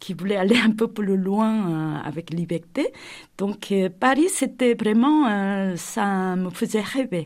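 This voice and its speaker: Very slowly, a woman with a medium pitch speaks with ordinary pitch variation in a very clean recording with a silent background. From South Korea, Seoul. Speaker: architect. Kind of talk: interview testimony. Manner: halting, many hesitations.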